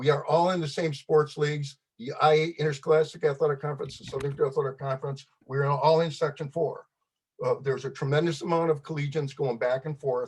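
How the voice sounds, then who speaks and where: A man with an American accent, fairly high-pitched and somewhat breathy, in a flat monotone. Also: fairly quick pace. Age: 70s. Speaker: public commenter. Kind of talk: public testimony. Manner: fast.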